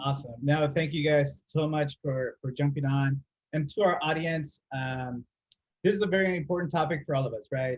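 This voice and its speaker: A somewhat breathy man speaks with ordinary pitch variation in a dry, close sound with no echo. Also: fairly high pitch for a man. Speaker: podcast host, account strategy director. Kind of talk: casual business podcast discussion. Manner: fast.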